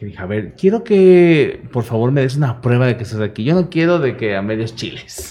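A man's medium-pitched voice has a dark, mellow tone and very wide pitch swings. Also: moderate pace. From Mexico, Veracruz. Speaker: radio host. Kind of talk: casual chat.

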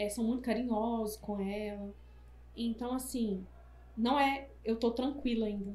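With audible room echo and noticeable background noise, the speech moves at a fairly slow pace broken by long, frequent pauses. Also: woman, fairly high pitch for a woman. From Brazil, Minas Gerais. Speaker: entrepreneur and mother. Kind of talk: casual chat.

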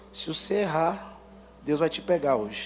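Amid music in the background and audible room echo, a man speaks in a high pitch at a moderate pace. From Brazil, Goiânia area (Garavelo). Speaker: guest preacher. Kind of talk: sermon. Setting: church. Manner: animated.

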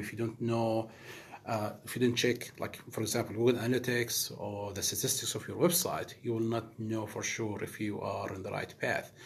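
A man speaks with an Arabic accent. His pace is fairly quick. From Middle East. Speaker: project manager. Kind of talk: casual interview chat.

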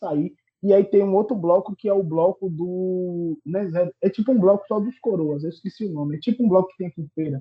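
High in pitch, a man's voice moves with ordinary pitch variation. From Bahia, Brazil (Salvador, then Irará). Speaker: podcast guest. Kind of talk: casual chat.

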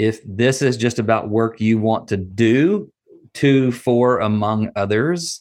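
In a very clean recording with a silent background, a man with a slight Southern US accent speaks at medium pitch with ordinary pitch variation. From US South, Nashville, Tennessee. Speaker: nonprofit training director and consultant. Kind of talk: interview.

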